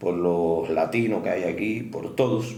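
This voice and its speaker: A man's voice carries audible room echo. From Cuba. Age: 70s. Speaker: doctor. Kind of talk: interview.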